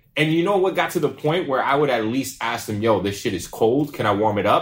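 The delivery is fairly quick and somewhat breathy, with lively intonation. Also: man. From Pawtucket, Rhode Island. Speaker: podcast co-host. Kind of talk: casual chat.

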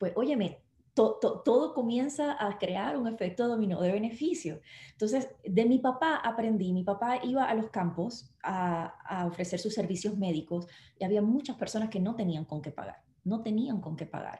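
A woman speaks at a moderate pace with fairly high pitch and lively intonation. Her tone is dark and mellow, and somewhat breathy. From Puerto Rico. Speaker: network marketing distributor and actress. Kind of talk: live online interview.

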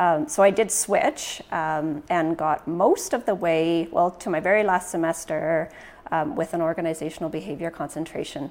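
Pitch variation is ordinary. The speaking pace is moderate. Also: woman, fairly low pitch for a woman. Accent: Western Canadian. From Canada, Prince George, northern British Columbia. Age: 50s. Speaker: credit union CEO. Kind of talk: casual interview.

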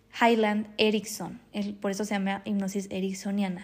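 A woman speaks in a calm, relaxed tone. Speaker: hypnotherapist and spiritual healer podcast host. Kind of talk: solo podcast monologue.

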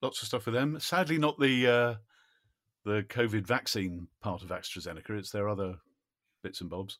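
A man speaks at a moderate pace with a southern English accent, his pitch swinging very widely and his loudness rising and falling sharply. Long pauses come often, and the recording is very clean with a silent background. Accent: southern English, RP-like. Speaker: voice-over actor and musician. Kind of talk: casual chat.

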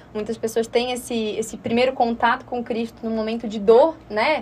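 A woman speaks with a Florianópolis accent at a fairly high pitch. Her pace is moderate and her intonation fairly even. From Florianópolis, southern Brazil. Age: 20s. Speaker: personal finance mentor. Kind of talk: radio interview. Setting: radio studio.

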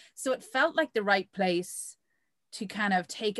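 Recorded with a dry, close sound and no echo, the speaker goes at a fairly slow pace in an Irish accent. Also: woman, very clean recording, silent background. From Ireland. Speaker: magazine founder and editor. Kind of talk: interview.

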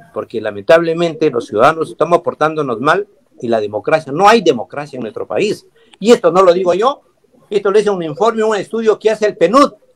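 Here a man talks at a fairly quick pace, his pitch high with very wide swings. The sound is dry and close, without any echo. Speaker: constitutional lawyer. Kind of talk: panel debate.

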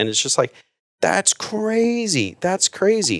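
Pitch swings very widely as a man talks at a fairly slow pace. The recording is very clean with a silent background and a dry, close sound with no echo. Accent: American. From South Texas. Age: 30s. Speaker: man of faith sharing his life story. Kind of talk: casual interview, personal testimony. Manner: halting, with many fillers.

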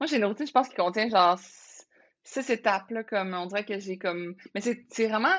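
A woman with a Quebec accent speaks at a fairly quick pace, her medium-pitched voice showing ordinary pitch variation. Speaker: entrepreneur, former lawyer. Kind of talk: casual interview chat.

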